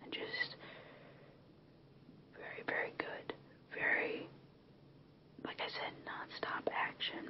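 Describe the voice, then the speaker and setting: Someone whispers at a very slow pace, with big swings in loudness, long, frequent pauses, and noticeable background noise. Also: woman. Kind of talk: ASMR movie recommendation talk to camera. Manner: whispered, soft-spoken, relaxing.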